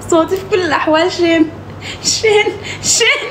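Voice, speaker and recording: Someone speaks with a Sudanese accent amid noticeable background noise and audible room echo. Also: woman. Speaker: social media live streamer. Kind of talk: casual live-stream chat. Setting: TikTok live stream.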